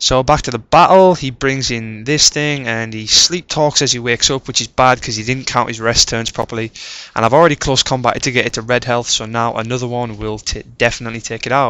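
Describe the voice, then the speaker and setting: A man's normal speaking voice at medium pitch, fairly quick in pace with hardly any pauses. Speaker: competitive video game player. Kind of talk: video game battle commentary. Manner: casual, conversational.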